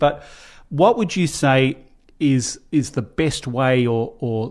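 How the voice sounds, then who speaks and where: Recorded very cleanly against a silent background, a man with an Australian accent speaks at a fairly high pitch. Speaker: podcast host. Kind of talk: interview.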